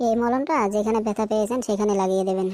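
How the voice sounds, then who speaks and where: A female-sounding cartoonish character voice sits at a fairly high pitch. It moves at a moderate pace. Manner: deadpan.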